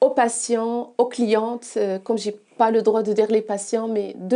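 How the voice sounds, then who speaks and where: Speaking very slowly with a non-native accent, a woman uses a fairly high pitch and a dark, mellow tone, her intonation monotone and flat. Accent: noticeable foreign. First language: not French (speaking French). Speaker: massage therapist. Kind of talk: interview. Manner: halting, many hesitations.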